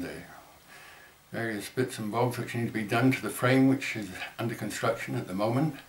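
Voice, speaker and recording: A man talks with ordinary pitch variation. Room echo can be heard. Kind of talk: fundraising appeal to camera. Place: home room. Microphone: webcam.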